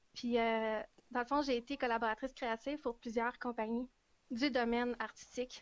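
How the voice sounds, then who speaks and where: Her pitch high and her intonation fairly even, a woman talks at a fairly quick pace. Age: 20s. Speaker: hiking influencer and student. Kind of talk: casual interview on live stream. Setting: Facebook live video call.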